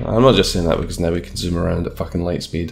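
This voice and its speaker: Someone mumbles over noticeable background noise. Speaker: let's play gamer. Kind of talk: casual gameplay commentary. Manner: mumbling a bit.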